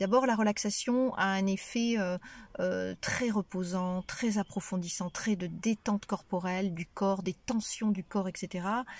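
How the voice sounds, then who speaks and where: The speech moves at a fairly slow pace with fairly even intonation, recorded very cleanly over a silent background. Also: woman. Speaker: relaxation practitioner and cancer survivor. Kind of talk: testimony. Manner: hesitant, many fillers; detached, calm.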